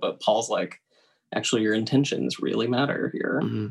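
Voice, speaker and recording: The voice has vocal fry and is heard in an American accent. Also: man. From US South, Tennessee. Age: 20s. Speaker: Episcopal priest. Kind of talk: casual chat.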